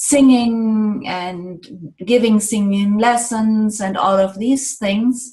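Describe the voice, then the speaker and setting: A woman's fairly high, somewhat breathy voice with a German accent, a dark, mellow tone, ordinary pitch variation and a very slow pace. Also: hardly any pauses. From Germany. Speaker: sound healing therapist. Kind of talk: interview.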